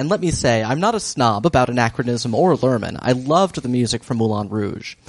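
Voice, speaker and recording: An ordinary speaking voice from a man, with lively intonation at a fairly quick pace. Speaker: podcast host. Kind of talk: casual banter recap podcast.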